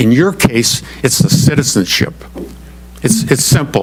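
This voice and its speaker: Noticeable background noise sits behind a man speaking at a fairly slow pace. His pitch is medium and his intonation lively. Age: 70s. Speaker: retired manufacturing professional presenting to township commission. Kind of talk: public meeting presentation.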